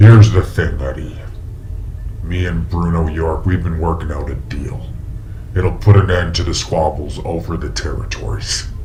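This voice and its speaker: Through loud background noise, a man puts on a character voice with a very deep, low pitch, speaking at a moderate pace. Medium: audio drama. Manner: smooth, courteous, menacing.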